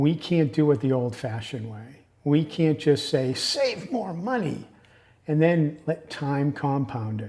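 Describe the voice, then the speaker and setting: A man with a fairly high pitch, dark and mellow tone, somewhat breathy, at a fairly slow pace. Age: 60s. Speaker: YouTuber on retirement finances. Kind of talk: casual talk to camera. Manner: conversational, with fillers and self-corrections.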